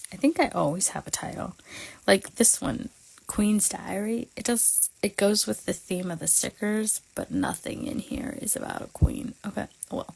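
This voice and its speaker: A woman with a fairly high pitch speaks at a moderate pace, her intonation lively and her voice touched with vocal fry. Her loudness swings widely. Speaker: planner creator. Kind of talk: casual livestream tutorial. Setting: livestream.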